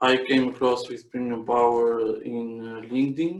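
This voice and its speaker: A man with an Albanian accent and fairly even intonation. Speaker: electrical engineer. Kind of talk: casual interview. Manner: halting.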